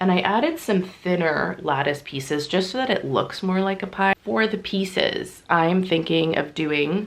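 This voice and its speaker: A woman at medium pitch talks fairly slowly with vocal fry and ordinary pitch variation. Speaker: polymer clay crafter, video creator. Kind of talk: casual craft vlog narration.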